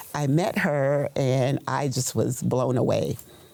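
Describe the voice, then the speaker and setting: At a fairly slow pace, a woman speaks with a very deep, low pitch and ordinary pitch variation against noticeable background noise. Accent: American. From Austin, Texas. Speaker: local writer. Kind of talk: interview.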